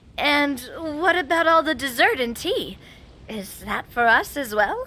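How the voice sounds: A woman performs a put-on character voice, high in pitch with a bright, sharp tone. Her intonation is lively and her pace fairly slow.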